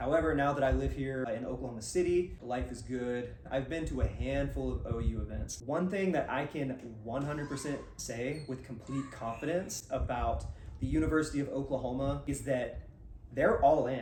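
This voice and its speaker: A man speaks in an American accent at a moderate speed, with room echo audible and background noise noticeable. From US South, Georgia near Athens. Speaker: sports podcast co-host. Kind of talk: casual chat.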